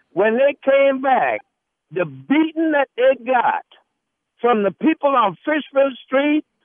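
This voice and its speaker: A man with a Southern US accent, extremely high-pitched, speaking at a very slow pace with lively intonation. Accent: US South. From Charleston, South Carolina. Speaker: radio caller. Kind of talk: call-in. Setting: phone call.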